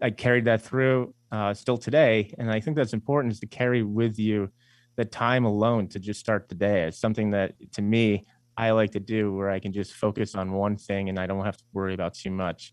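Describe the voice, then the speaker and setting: Fairly low in pitch, a man talks with a New York accent. He goes at a fairly quick pace with fairly even intonation. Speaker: investment firm CEO and author. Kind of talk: radio interview.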